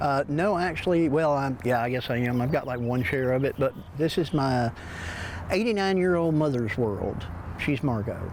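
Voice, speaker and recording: Speaking at a moderate pace with an American accent, a man with a fairly high voice keeps his loudness very even and his intonation lively, over noticeable background noise. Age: 60s. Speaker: antique shop owner. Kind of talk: news interview. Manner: halting.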